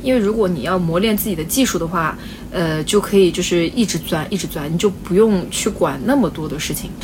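Over noticeable background noise, a woman talks at a fairly quick pace with a medium pitch and ordinary pitch variation. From China, Wenzhou. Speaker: bakery owner. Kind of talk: casual interview. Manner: talkative.

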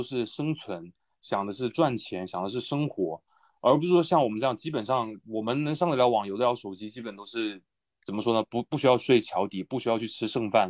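A man talks at a fairly quick pace in an ordinary speaking voice against a quiet background. His pitch is medium, with lively intonation. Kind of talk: casual group chat. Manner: casual, mixes English swearing into Chinese.

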